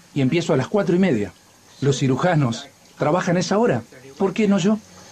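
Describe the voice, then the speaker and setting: A man with a Rioplatense accent speaks at a moderate pace with lively intonation over light background noise. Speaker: voice actor. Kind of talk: documentary dubbing, voicing an interviewed photographer. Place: studio.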